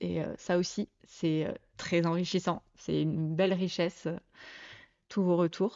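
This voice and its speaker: A woman speaks at a very slow pace with long, frequent pauses. Her intonation is monotone and flat, and her loudness very even. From southeastern France (Côte d'Azur, Provence). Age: 30s. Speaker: podcast host. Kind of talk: casual monologue. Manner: hesitant, many fillers.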